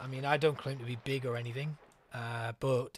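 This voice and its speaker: With a North East England accent, a man talks at a fairly quick pace in a relaxed tone, his intonation monotone and flat. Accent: North East English (Geordie). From North East England, Newcastle upon Tyne. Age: 30s. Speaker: gaming streamer. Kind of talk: casual chat. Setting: live stream. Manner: relaxed, hesitant with fillers.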